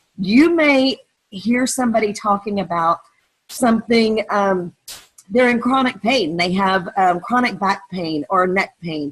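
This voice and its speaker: A normal speaking voice with lively intonation at a fairly slow pace. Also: woman. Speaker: direct sales team leader. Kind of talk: training webinar.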